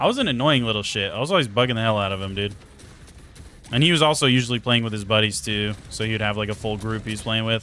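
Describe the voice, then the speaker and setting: Music plays in the background as a man talks at a very fast pace. His tone is animated and his pitch is medium. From Idaho, US. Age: 20s. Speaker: video game streamer. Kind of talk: live stream chat while gaming. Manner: casual, animated.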